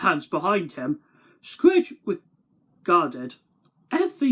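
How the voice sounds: A natural reading voice is heard, and the background stays quiet.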